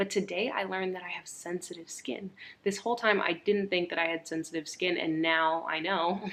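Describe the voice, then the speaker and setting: Fairly quick, fairly low-pitched speech from a woman, her intonation fairly even. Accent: American. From US West Coast, San Diego. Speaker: model and vlogger. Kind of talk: casual vlog talk. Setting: at home.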